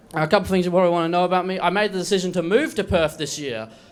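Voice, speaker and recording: A high-pitched male voice amid noticeable background noise. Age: 20s. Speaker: open-mic comedian. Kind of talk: stand-up.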